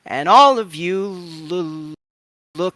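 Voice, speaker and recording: A man puts on a character voice, pitched high. The sound is dry and close with no echo, on a very clean recording with a silent background. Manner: stuttering, halting.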